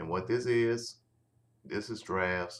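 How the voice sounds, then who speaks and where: A man talks with fairly even intonation. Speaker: online marketing tutorial creator. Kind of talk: screen-recorded software tutorial. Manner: halting, many false starts.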